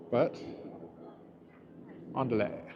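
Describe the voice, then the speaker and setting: Against noticeable background noise and audible room echo, a man with an American accent speaks at a fairly slow pace. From England, Oxford area. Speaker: YouTuber, city walk vlogger. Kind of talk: live stream walking tour. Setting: outdoors, walking on elevated park. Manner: casual, meandering.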